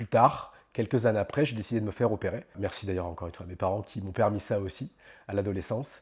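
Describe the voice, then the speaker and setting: In a very clean recording with a silent background, a man speaks at a very fast pace and sounds somewhat breathy. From France, Normandy (Caen). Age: 30s. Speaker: life coach. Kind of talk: interview monologue. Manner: hesitant, many fillers.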